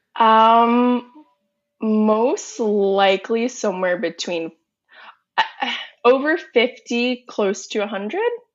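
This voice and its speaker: An American accent from a woman, fairly high-pitched with ordinary pitch variation, at a very slow pace with long, frequent pauses. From Northern Virginia, US. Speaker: food influencer. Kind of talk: casual interview. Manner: giggly.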